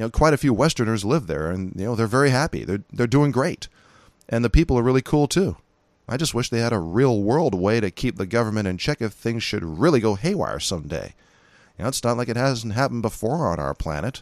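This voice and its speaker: At a very fast pace, a man with an American accent speaks at a medium pitch with lively intonation. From California. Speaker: podcast host, gun rights commentator. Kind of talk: monologue podcast commentary. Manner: casual, conversational.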